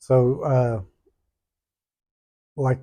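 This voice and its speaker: A man with a Southern US accent speaks in a dark, mellow tone with monotone, flat intonation. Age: 60s. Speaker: pastor. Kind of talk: interview.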